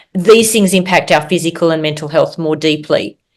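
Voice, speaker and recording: The speaker has an Australian accent and a fairly quick pace. Pitch varies in an ordinary way. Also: woman. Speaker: physician and author. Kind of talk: interview.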